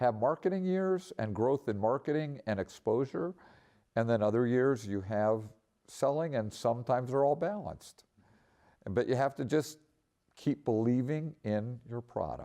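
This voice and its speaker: A man speaks in a dark, mellow tone over a quiet background. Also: medium pitch for a man, lively intonation, moderate pace. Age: 60s. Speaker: photographer. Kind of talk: interview. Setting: art center.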